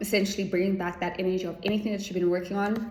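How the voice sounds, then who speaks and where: A woman's medium-pitched, flat, monotone voice amid audible room echo and noticeable background noise. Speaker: tarot reader. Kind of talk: spiritual tarot reading. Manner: fast.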